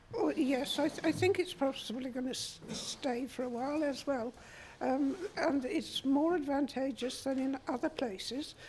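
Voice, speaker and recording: A woman with a high pitch and ordinary pitch variation, at a moderate pace. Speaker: audience member. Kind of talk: audience comment. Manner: halting.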